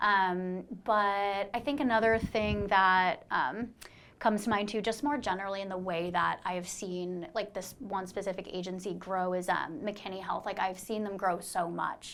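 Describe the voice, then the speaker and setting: A woman with a normal speaking voice, medium pitch and an American accent talks at a moderate pace, with hardly any pauses and fairly even intonation. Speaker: life sciences recruiter. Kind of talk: casual podcast chat. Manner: casual, filler-heavy.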